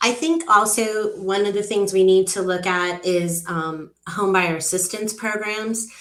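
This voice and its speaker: A woman talks with monotone, flat intonation. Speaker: mortgage company executive. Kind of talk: interview.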